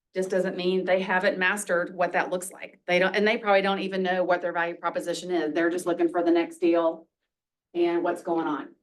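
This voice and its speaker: Fairly low in pitch, a woman talks at a fairly quick pace with monotone, flat intonation. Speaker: real estate office leader and trainer. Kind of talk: workshop training talk. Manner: fast.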